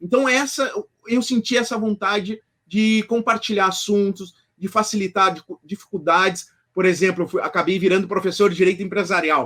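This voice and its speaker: Speaking with a southern Brazilian accent, a man uses a high pitch, a bright, sharp tone, ordinary pitch variation and a moderate pace. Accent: gaúcho Brazilian Portuguese. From southern Brazil, Rio Grande do Sul. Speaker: law professor and author. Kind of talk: interview. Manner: halting, many fillers and restarts.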